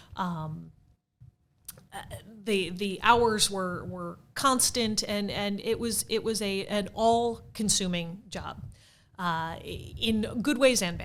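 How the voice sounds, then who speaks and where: A woman's medium-pitched voice at a very slow pace, with ordinary pitch variation and audible room echo. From US Midwest, St. Louis. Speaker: theater marketing director, former PR professional. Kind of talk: podcast interview.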